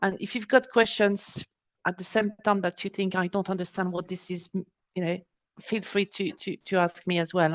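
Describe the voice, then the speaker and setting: At a moderate pace, a woman with a French accent speaks at medium pitch with fairly even intonation, the sound dry and close with no echo over a quiet background. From France. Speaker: export business adviser. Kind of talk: webinar presentation. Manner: hesitant, many fillers.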